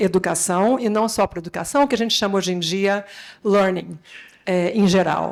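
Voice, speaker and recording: A woman with a medium pitch keeps her intonation fairly even on a very clean recording, the background silent. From Brazil. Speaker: education technology executive, panelist. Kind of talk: conference panel talk. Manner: halting, many filler sounds.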